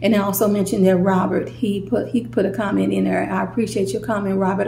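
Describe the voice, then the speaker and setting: Very fast speech from a woman with an American accent amid audible room echo and noticeable background noise. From St. Louis, Missouri. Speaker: YouTuber. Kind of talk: casual vlog storytime.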